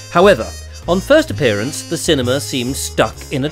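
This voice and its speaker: Very wide pitch swings mark a man's speech, with music in the background. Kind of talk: news feature narration.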